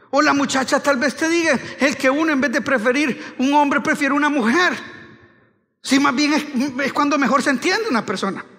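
This man's voice is extremely high-pitched, bright and sharp, with an animated tone. He speaks in a raised, projected voice at a moderate pace. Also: ordinary pitch variation, quiet background. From Honduras. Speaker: pastor. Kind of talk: sermon. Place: church. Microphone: headset.

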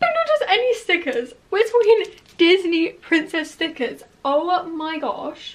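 A woman with an extremely high pitch talks at a fairly slow pace, her intonation lively. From England. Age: young. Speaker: vlogger. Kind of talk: vlog. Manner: animated. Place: home room. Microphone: phone near.

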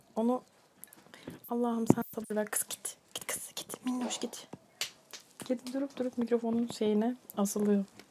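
A woman speaks at a fairly slow pace, leaving long, frequent pauses. Noticeable background noise sits behind her. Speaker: ASMR creator. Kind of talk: casual vlog chat. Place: kitchen.

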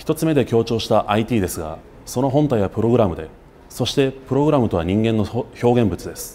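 Lively intonation marks this man's speech, delivered in a dark, mellow tone. He keeps a moderate pace. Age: 30s. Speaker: political candidate; candidate. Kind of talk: campaign speech. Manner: formal. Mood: earnest, formal. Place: studio.

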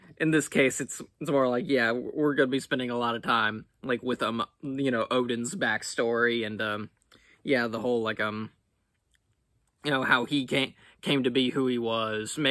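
A man speaks at a moderate pace with a bright, sharp tone and fairly even intonation. The background is quiet, and the sound is dry with no echo. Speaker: reaction video host. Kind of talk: casual vlog chat. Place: home room.

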